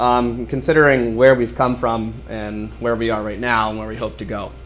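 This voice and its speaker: Fairly quick speech from a man, with audible room echo. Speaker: teacher presenting to school board. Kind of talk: presentation. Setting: school board meeting. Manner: loud.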